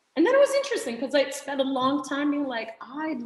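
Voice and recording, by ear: A woman with a non-native accent speaks amid audible room echo. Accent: foreign.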